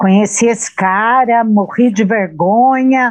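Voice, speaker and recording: A woman is speaking. Her pace is very slow. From Brazil, interior of São Paulo state (Jundiaí). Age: 60s. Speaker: author. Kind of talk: interview.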